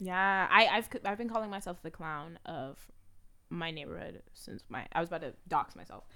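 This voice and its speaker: On a very clean recording with a silent background, a woman with a fairly low pitch and a bright, sharp tone speaks at a moderate pace, with ordinary pitch variation and big swings in loudness. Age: 20s. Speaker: podcast co-host. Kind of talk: casual chat. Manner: animated.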